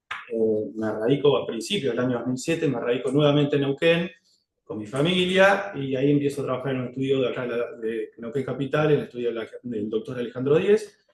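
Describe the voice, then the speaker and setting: Fairly quick talk from a man at medium pitch with ordinary pitch variation. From Argentina, Río Negro (General Roca). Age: 40s. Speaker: lawyer applying for judgeship. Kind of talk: job interview presentation. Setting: formal interview panel. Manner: hesitant, many filler sounds.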